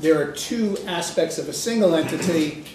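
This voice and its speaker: Amid noticeable background noise and audible room echo, a man speaks with a high pitch and ordinary pitch variation. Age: old. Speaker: retired professor lecturing at a conference. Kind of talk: lecture. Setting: conference room with audience. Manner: fast.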